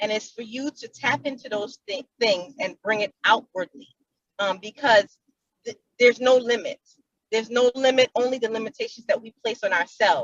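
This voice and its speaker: Hers is a plain, everyday voice with a fairly high pitch and ordinary pitch variation. The woman keeps a moderate pace, with big swings in loudness. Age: young. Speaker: young business woman, entrepreneur. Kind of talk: panel discussion.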